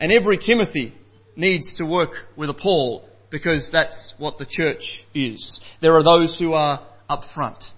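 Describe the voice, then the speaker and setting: A man speaks loudly at a high pitch with ordinary pitch variation. His pace is fairly slow. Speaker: preacher. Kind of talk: sermon. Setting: church.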